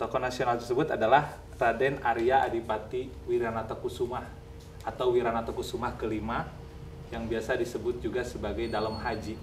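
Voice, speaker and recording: Over light background noise, a man talks at a fairly quick pace with monotone, flat intonation. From Majalaya, West Java, Indonesia; West Java, Indonesia. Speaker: video host. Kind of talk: interview. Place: home room. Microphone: lapel.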